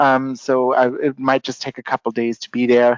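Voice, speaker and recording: This is a man speaking. He has a Canadian accent. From Canada. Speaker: company CEO, webinar moderator. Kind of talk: webinar Q&A moderation. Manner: fast.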